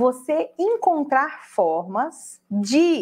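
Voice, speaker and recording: A woman speaks in an animated tone, her pitch swinging very widely. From Brazil. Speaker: online crafting instructor. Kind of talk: live stream tutorial talk. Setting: live online broadcast. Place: office.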